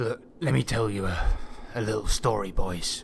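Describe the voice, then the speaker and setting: Using a put-on character voice, a man speaks in a raspy, fairly low pitch at a moderate pace, with clear background noise behind him. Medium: actual play. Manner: folksy, rambling storyteller.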